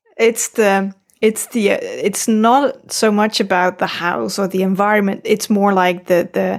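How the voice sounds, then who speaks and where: In a very clean recording with a silent background, a woman with a Dutch accent speaks at a medium pitch with fairly even intonation. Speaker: podcaster, parent. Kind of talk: casual chat.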